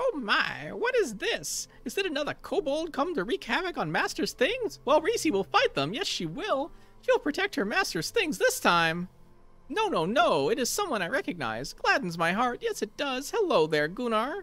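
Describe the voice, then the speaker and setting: A strained, extremely high-pitched put-on character voice from a man. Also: moderate pace. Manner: fretful, eager to protect her master.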